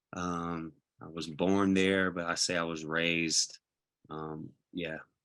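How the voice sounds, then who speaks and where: A man speaks at a very slow pace in a very deep, low pitch. His intonation is monotone and flat. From Los Angeles, California, with time in Puerto Rico. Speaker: professional dancer. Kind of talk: panel interview. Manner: halting, many fillers.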